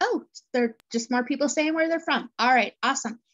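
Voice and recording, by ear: A woman's high-pitched, fairly bright voice with ordinary pitch variation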